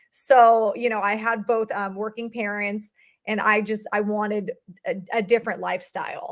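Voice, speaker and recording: Speaking at a fairly slow pace, a woman with a fairly high pitch talks in a Californian accent. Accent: Californian American English. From Southern California. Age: 30s. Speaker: real estate investor. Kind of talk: podcast interview.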